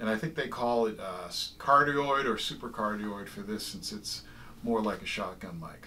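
A man speaks with lively intonation at a moderate pace. Light background noise can be heard. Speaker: fishing gear reviewer. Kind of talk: casual tutorial review. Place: home room. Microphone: camera far.

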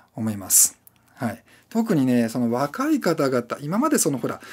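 In a quiet background, a man speaks with a fairly high pitch and very wide pitch swings. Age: 40s. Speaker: YouTuber and freelance video creator; YouTuber, freelance video creator. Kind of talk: casual solo talk to camera. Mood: reflective, self-deprecating. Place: home room.

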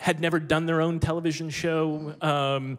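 The speech comes at a fairly slow pace with monotone, flat intonation against a quiet background. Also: man. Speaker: panelist. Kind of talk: panel discussion storytelling. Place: stage. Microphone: handheld.

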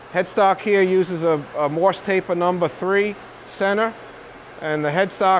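The background carries light noise. A man talks at a moderate pace. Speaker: machine salesman demonstrator. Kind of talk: product walkthrough demonstration. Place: workshop.

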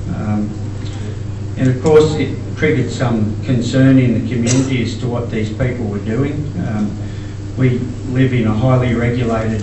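Over noticeable background noise and audible room echo, a man with an Australian accent talks at a moderate pace. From Queensland, Australia. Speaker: farmer. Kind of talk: conference talk. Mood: earnest, concerned. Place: hall. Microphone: camera far.

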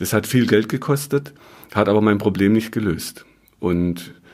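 A man speaks at a moderate pace in an unremarkable speaking voice, fairly low in pitch, with ordinary pitch variation. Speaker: muscle and health therapist, podcaster. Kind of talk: educational podcast monologue.

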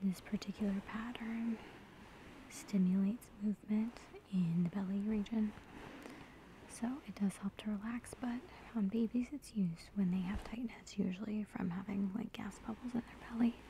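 Over light background noise, a woman speaks at a moderate pace with fairly even intonation in a dry sound with no echo. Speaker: massage demonstrator. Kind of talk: tutorial. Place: home room. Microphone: phone near.

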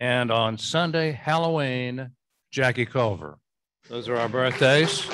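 This man has an ordinary speaking voice, medium in pitch, with ordinary pitch variation. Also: fairly slow pace. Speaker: club member. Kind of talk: casual chat.

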